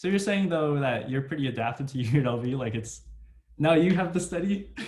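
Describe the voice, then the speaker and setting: A man's fairly high, somewhat breathy voice with lively intonation at a fairly quick pace, with audible room echo. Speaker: podcast host, college student. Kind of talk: casual chat. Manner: halting, repeats words.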